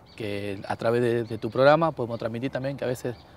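Over light background noise, a man speaks very fast with fairly even intonation in a dry sound with no echo. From Argentina (Buenos Aires area). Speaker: former footballer; talk show guest. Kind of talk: casual chat; interview answer. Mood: cheerful, laughing storytelling. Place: garden. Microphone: lapel.

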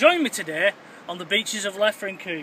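Light background noise sits under a man's voice. He speaks at a moderate pace, with a dry sound and no echo. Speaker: explorer vlogger. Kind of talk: casual vlog chat. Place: beach. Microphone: phone near.

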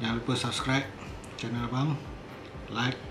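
A man does the talking. Noticeable background noise can be heard. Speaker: food vlogger. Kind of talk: casual vlog chat. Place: kitchen. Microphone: phone near.

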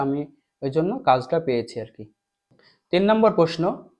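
A man's fairly high-pitched voice, a normal speaking voice. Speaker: teacher. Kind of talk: tutorial.

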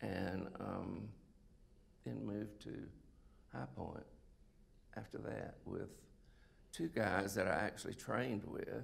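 A man with a South Carolina accent, very deep and low in pitch, with vocal fry, very wide pitch swings, a very slow pace, and long, frequent pauses. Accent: Southern US (South Carolina). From US South, South Carolina (Sumter). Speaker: retired oncologist. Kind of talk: interview, life story. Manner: halting, many fillers. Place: stage.

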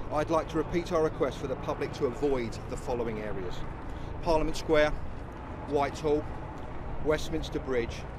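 The sound is dry with no echo, and there is noticeable background noise as a man speaks. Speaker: police spokesman. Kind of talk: formal police news briefing. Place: street. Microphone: handheld.

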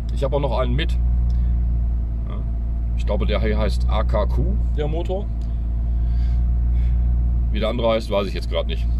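Amid noticeable background noise, a man with a very deep, low pitch speaks in a flat monotone at a moderate pace with long, frequent pauses, the sound dry with no echo. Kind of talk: casual vlog commentary. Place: car. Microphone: phone near.

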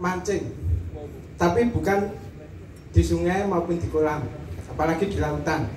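A man talks fairly slowly in a fairly high voice, with noticeable noise behind him. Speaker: stand-up comedian, online motorbike taxi driver. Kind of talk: stand-up comedy. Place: hall. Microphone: pa.

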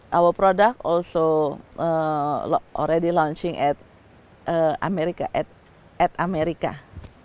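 With an Indonesian accent, a woman speaks at a fairly low pitch. Her intonation stays fairly even. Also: fairly slow pace, dry sound with no echo. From Indonesia, Medan, North Sumatra; North Sumatra, Indonesia. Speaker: social entrepreneur. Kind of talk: project pitch. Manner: halting, many fillers. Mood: calm, friendly. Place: garden.

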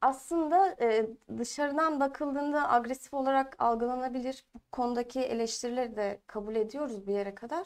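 The woman's voice is high-pitched. Her background is quiet. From Eskişehir, Turkey; Turkey. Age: 20s. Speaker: parliamentary candidate and university student; candidate. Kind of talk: political interview. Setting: studio. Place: studio. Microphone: lapel.

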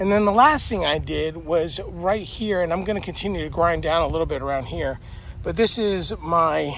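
The man's high-pitched voice has ordinary pitch variation and a dry sound with no echo, with light background noise behind it. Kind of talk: casual vlog chat. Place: garden. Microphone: phone near.

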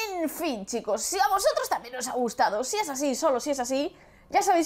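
With a Castilian accent, a woman speaks at a moderate pace, her pitch swinging very widely. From Spain. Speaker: gaming youtuber. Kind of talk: gameplay commentary. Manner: casual, hesitant. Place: home room.

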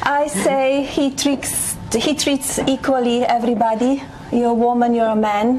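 A woman's high voice with a strong non-native accent, moderate pace, hardly any pauses, very even loudness and light background noise. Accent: heavy foreign. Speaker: first lady. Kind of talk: interview answer. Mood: calm, composed. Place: home room. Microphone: lapel.

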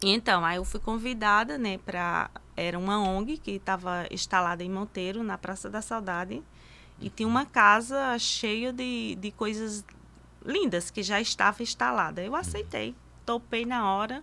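Her tone is bright and sharp, and her pitch varies in an ordinary way. This woman talks at a fairly slow pace. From Brazilian Northeast, Cariri region of Paraíba; Brazilian Northeast. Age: 50s. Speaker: master lacemaker; guest. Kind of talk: interview. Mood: warm, animated. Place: studio. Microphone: studio mic.

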